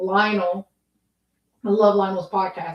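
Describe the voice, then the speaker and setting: A woman with a Southern US accent speaks at a fairly slow pace. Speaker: podcast host, housewife. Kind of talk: casual livestream chat. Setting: live video stream.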